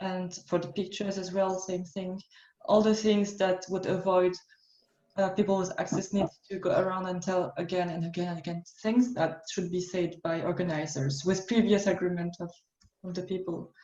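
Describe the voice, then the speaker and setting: A woman in a French accent, medium pitch with a dark, mellow tone, monotone, flat intonation and a moderate pace. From France. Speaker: workshop facilitator. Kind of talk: online workshop.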